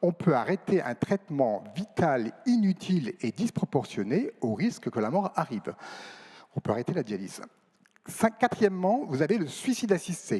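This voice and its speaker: A man's high-pitched voice, dark and mellow in tone, with very wide pitch swings. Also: dry, close sound with no echo. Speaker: nephrologist, panel speaker. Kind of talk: round table debate. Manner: fast.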